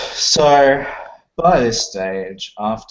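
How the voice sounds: Lively intonation in a natural reading voice, the surroundings quiet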